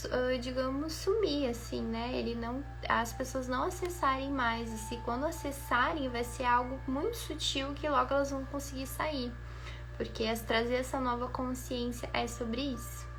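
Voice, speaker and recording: A soft-spoken woman talks at a fairly slow pace, with audible room echo. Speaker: spiritual beauty coach. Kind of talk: guided meditation; casual chat.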